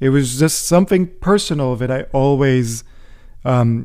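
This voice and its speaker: A man with an American accent has a dark, mellow tone at a fairly high pitch. His pitch varies in an ordinary way. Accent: learned American accent, Israeli roots. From central Israel. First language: Hebrew. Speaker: professor. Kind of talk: interview. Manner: conversational, many fillers.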